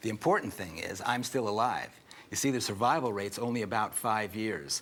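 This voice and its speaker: A man talks at a fairly quick pace. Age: 60s. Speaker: health author and veteran. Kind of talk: interview. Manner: animated.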